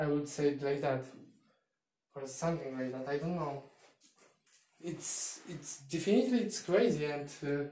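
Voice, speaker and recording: A man talks at a fairly slow pace in a Polish accent. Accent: Polish accent, non-native English. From Poland. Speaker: YouTuber. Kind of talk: casual vlog monologue. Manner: halting, with fillers and repetitions.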